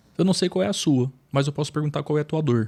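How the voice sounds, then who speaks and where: A man talks at a very fast pace in a somewhat breathy, fairly high voice. The recording is very clean, with a silent background. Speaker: businessman and trainer. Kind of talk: podcast interview, personal testimony.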